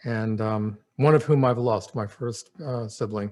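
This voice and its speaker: A man in a New Jersey accent at medium pitch, in a very clean recording with a silent background. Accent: American, New Jersey. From New Jersey (Princeton). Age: 60s. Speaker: memoir storyteller. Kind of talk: personal reminiscence monologue. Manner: halting, many fillers.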